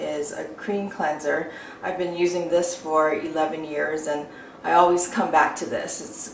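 At a very slow pace, a woman speaks in a fairly low pitch, with audible room echo and light background noise. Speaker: beauty vlogger. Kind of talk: tutorial. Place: bathroom.

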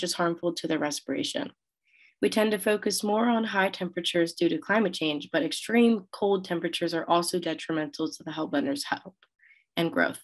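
Against a quiet background, a woman in a normal speaking voice talks at a fairly quick pace, her medium pitch carried by lively intonation. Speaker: university student presenter. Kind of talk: conference lightning talk.

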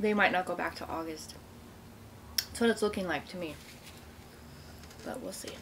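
A woman talks at a moderate pace with ordinary pitch variation and big swings in loudness, over light background noise. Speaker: mukbang vlogger. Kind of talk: casual vlog chat. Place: home room. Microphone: phone near.

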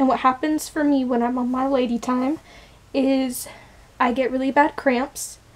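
A woman at a moderate pace, high-pitched and in a flat monotone. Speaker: vlogger. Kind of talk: casual vlog chat. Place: home room. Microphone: phone near.

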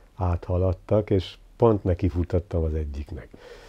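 A man's very deep, low voice at a fairly slow pace, over a quiet background. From eastern Hungary, near Debrecen; Hungary. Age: 70s. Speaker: visual artist; interviewee. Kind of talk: life story interview. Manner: reflective. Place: home room.

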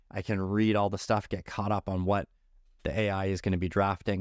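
A man with a normal speaking voice and a fairly low pitch talks at a moderate pace. The sound is dry with no echo, and the background is quiet. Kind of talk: product demo narration.

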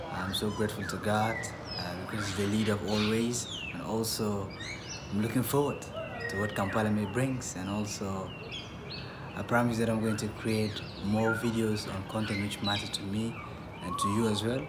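Through loud background noise, a man speaks at a moderate pace, leaving long, frequent pauses. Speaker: travel vlogger. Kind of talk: casual vlog chat. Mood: cheerful, grateful. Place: street. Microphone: phone near.

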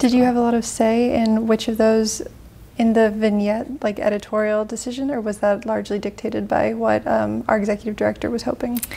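A woman's fairly quick speech in a monotone, flat delivery. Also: fairly high pitch for a woman. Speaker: interviewer. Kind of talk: interview. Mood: curious, friendly. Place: studio.

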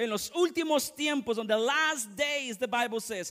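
Against a quiet background, a man speaks at an extremely high pitch with lively intonation and a bright, sharp tone. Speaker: pastor. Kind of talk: fervent bilingual sermon, lines echoed in English and Spanish. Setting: church. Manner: punctuates lines with repeated amens, calling for congregation response. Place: church.

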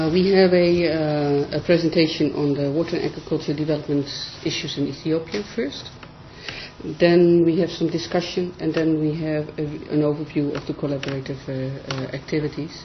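A woman's very deep, low voice with fairly even intonation over light background noise. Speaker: academic department head. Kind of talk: formal welcome and seminar chairing. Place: meeting room. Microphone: camera far.

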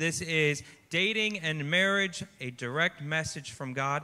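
A man talks at a fairly slow pace in a bright, sharp tone. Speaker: youth pastor. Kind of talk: sermon. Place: stage. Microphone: handheld.

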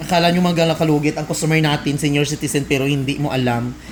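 A man with a fairly high voice talks at a very fast pace. Noticeable background noise is present. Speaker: nail care vlogger. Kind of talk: casual vlog narration. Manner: loud; animated.

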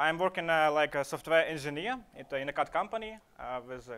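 A man at a fast pace and fairly high pitch, with a fairly bright, clear, smooth tone and lively intonation.

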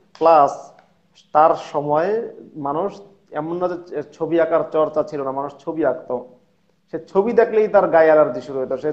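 A man talks against a quiet background. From Bangladesh. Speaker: former madrasa student turned atheist commentator; guest. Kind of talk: casual conversation. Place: home room. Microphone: video call.

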